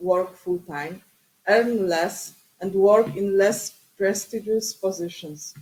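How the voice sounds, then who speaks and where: A woman speaks with a non-native accent. Her pace is very slow and her intonation fairly even. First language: Polish. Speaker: academic researcher and city councillor. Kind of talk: conference presentation. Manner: halting.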